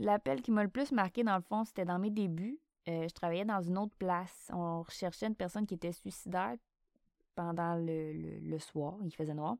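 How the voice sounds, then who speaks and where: On a very clean recording with a silent background and a dry, close sound with no echo, a woman talks at a moderate pace with ordinary pitch variation. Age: 30s. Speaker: podcast host, emergency dispatcher. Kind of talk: casual Q&A monologue.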